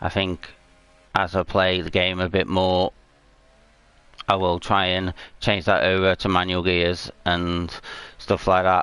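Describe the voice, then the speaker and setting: A man with a British accent talks in a very deep, low voice and a flat, monotone delivery. His pace is fairly slow, broken by long, frequent pauses. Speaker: gaming streamer. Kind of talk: live gameplay commentary. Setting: home livestream with PS4 camera. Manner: hesitant, many fillers.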